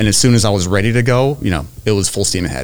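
Noticeable background noise sits behind this man. He has a fairly low pitch and lively intonation. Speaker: private lender, real estate. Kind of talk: casual chat.

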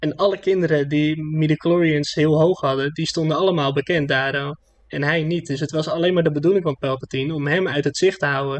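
Fairly high in pitch, a man talks in an unremarkable speaking voice with fairly even intonation. He moves at a fairly quick pace with hardly any pauses. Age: 20s. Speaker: podcast co-host. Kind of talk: casual chat.

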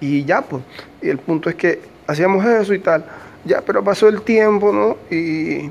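His voice sits high for a man, with ordinary pitch variation. The man talks at a fairly slow pace. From Bolivia, Santa Cruz de la Sierra. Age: 20s. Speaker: podcaster and migrant worker. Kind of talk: casual personal storytelling monologue. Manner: hesitant, many fillers and repetitions.

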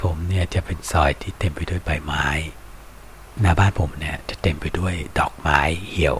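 Through noticeable background noise, a man speaks with a very deep, low pitch and ordinary pitch variation. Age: 50s. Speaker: online radio-style music show host. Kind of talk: casual monologue between songs.

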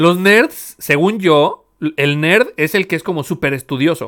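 A very clean recording with a silent background and ordinary pitch variation. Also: man. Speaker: podcast host. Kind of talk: casual chat.

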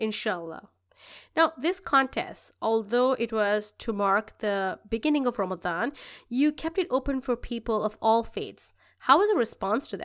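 On a very clean recording with a silent background, a woman with a plain, everyday voice speaks at a moderate pace, fairly high in pitch, with lively intonation. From immigrant to Canada. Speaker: podcast host. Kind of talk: interview.

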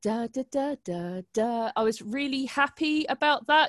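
The speaker has a British accent and ordinary pitch variation. The sound is dry and close, with no echo. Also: woman. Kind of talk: casual chat. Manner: casual, swears.

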